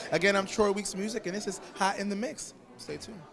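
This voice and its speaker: An animated man at a high pitch, over noticeable background noise. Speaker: co-host and musician; co-host. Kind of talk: red carpet interviews. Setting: event venue. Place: hall. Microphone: handheld.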